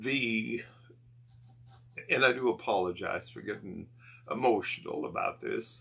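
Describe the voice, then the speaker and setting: A man at a fairly slow pace, with big swings in loudness and long, frequent pauses. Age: 60s. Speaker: ministry founder and network manager. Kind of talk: testimony. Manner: halting.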